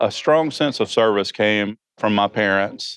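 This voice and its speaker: A man with a Georgia accent and a fairly low pitch. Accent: Southern US (Georgia), noticeable. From Georgia, US South. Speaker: emergency preparedness manager. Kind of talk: interview. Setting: conference venue.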